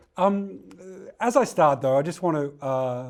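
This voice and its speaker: Speaking with an Australian accent, the man has a fairly high pitch. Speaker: technical director, data specialist. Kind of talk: lecture. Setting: webinar. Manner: fast; hesitant, many fillers.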